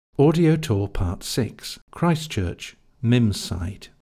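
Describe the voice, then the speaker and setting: A man's somewhat breathy voice has a dark, mellow tone at medium pitch. His pitch swings very widely. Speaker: audio tour narrator. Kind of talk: scripted audio-guide narration giving step-by-step walking directions. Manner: clear, measured, instructional pacing; polite, formal council-style tone.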